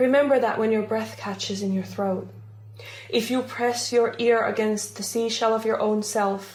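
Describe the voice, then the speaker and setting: With monotone, flat intonation, a woman speaks at a fairly high pitch and a moderate pace amid noticeable background noise. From Finland. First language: Finnish. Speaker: folk herbalist and storyteller. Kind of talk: reading aloud; casual self-introduction.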